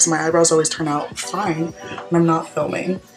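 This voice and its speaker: Over music in the background, a woman speaks at a fairly low pitch. Her pace is moderate, and her pitch variation is ordinary. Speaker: college student. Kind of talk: makeup tutorial talk to camera. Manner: casual, chatty.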